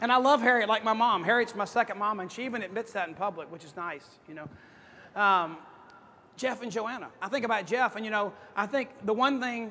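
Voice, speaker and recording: A man with a high pitch uses a raised, projected voice at a fairly quick pace. His tone is animated, with ordinary pitch variation and big swings in loudness. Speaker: motivational speaker at sales conference. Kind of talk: conference keynote speech. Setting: stage with audience. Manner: fast.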